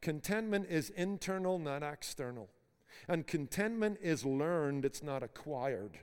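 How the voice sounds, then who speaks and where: A man with a Northern Irish accent speaks at a moderate pace in a fairly high pitch, his intonation lively. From Belfast, Northern Ireland. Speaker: preacher and seminary board member. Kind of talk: sermon. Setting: university chapel with students.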